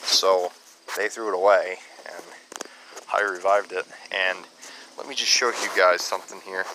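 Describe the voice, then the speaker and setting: A man speaks at a fairly low pitch and a moderate pace. The sound is dry with no echo, and there is noticeable background noise. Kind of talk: casual tutorial commentary. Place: garden. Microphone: phone near.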